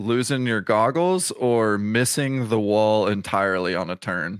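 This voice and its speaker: On a very clean recording with a silent background, a man with a fairly low pitch and a plain, everyday voice talks with ordinary pitch variation. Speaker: podcast host; former swimmer. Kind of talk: casual chat.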